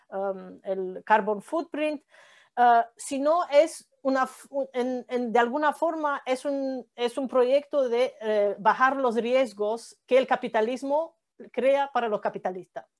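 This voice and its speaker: A woman with a non-native accent speaks at a high pitch and a very slow pace. The background is quiet. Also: ordinary pitch variation. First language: not Spanish (speaking Spanish). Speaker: economics professor. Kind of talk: lecture. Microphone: video call.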